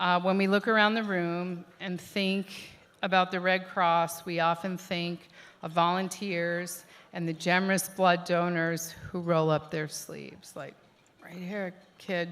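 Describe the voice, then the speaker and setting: On a very clean recording with a silent background, a woman speaks in a fairly low voice at a fairly slow pace. Her intonation is monotone and flat, and her loudness swings a lot. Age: 50s. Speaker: event co-chair. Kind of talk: gala speech. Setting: stage with audience.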